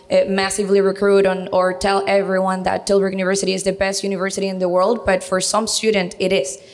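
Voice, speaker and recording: A woman speaks very fast at a medium pitch, her intonation flat and monotone, with noticeable background noise. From Venezuela. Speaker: university recruitment coordinator. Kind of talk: interview on local TV.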